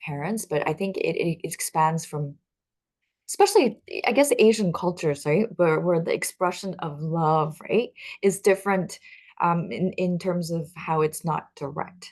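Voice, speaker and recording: A woman's fairly low, fairly slow voice in a Chinese accent, with ordinary pitch variation over a quiet background. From Taiwan. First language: Mandarin Chinese. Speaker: talk show host. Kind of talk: casual interview chat. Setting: livestream.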